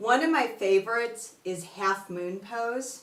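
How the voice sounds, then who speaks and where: A woman's very slow speech with ordinary pitch variation and audible room echo. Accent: Chicago. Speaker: yoga teacher. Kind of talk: tutorial.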